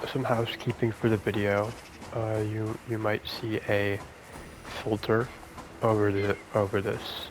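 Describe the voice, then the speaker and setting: A man speaks softly at a fairly low pitch, in a flat monotone, at a fairly slow pace. Long pauses come often, and background noise is noticeable. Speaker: gaming ASMR creator. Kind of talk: casual gameplay commentary. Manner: halting, many fillers and repeats.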